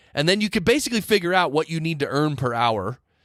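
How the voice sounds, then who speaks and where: Recorded very cleanly against a silent background with a dry, close sound and no echo, a man talks at a fairly quick pace with lively intonation, a fairly high pitch and a plain, everyday voice. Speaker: podcast engineering teacher and host. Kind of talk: podcast host monologue. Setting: close-miked studio recording. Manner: conversational, explanatory.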